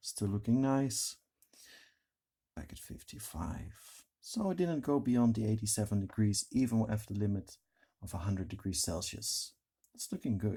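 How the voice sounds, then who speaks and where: Speaking at a moderate pace with a non-native accent, a man with a fairly low, somewhat breathy voice and a dark, mellow tone uses lively intonation and leaves long, frequent pauses. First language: not English. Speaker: tech reviewer. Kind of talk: product review tutorial. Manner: casual, conversational.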